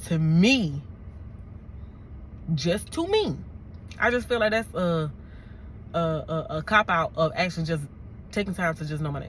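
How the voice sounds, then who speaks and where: The voice sounds animated and somewhat breathy, with lively intonation at a moderate pace. Long pauses come often. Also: woman, fairly low pitch for a woman. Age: 30s. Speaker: YouTuber and correctional officer. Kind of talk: storytime vlog.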